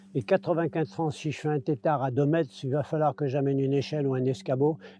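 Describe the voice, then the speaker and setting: A man with a fairly high pitch speaks at a very fast pace. His pitch variation is ordinary. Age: 70s. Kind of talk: casual chat. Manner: halting.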